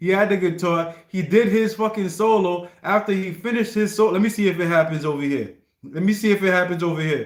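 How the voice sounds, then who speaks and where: An animated, high-pitched male voice with an American accent. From US. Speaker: live streamer. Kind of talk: casual livestream chat, reacting to requests. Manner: animated, repetitive restarts.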